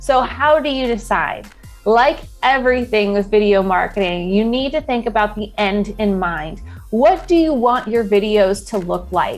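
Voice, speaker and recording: There is faint music in the background. Over it, a woman talks at a moderate pace. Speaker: video marketing channel host. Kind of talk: tutorial. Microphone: lapel.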